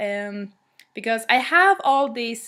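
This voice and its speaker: A woman's voice sits at a fairly high pitch with a bright, sharp tone. The recording is very clean, with a silent background. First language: Swedish. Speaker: music blogger. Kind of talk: casual vlog monologue. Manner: halting, many fillers.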